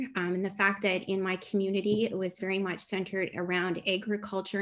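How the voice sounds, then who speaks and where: At a moderate pace, a woman with a Canadian accent speaks at a medium pitch over a quiet background. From Canada, Ottawa Valley; Canada. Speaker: chemistry professor. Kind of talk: online talk. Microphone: webcam.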